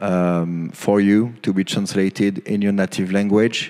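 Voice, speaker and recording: A man speaks in a French accent with a fairly low pitch. His pace is very slow and his intonation is monotone and flat. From France. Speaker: conference speaker on cybersecurity regulation. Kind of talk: conference talk. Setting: stage with audience. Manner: halting, many fillers.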